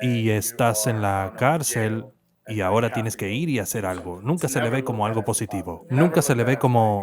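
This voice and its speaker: This man has a plain, everyday voice, pitched in the medium range, with ordinary pitch variation and a moderate pace. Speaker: voice actor doing Spanish dubbing. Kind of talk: dubbed voice-over of a panel discussion on mental health.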